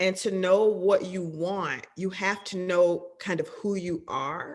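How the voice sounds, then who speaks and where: Very slowly and with fairly even intonation, a woman talks at a medium pitch. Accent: American. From US South, Georgia. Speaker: film and television director. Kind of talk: interview.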